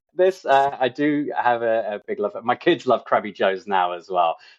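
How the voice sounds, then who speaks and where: A man with an English accent speaks at medium pitch and a moderate pace, his pitch swinging very widely. The sound is dry and close with no echo, over a quiet background. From England. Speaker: insurance agent. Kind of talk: podcast interview. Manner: hesitant, many fillers.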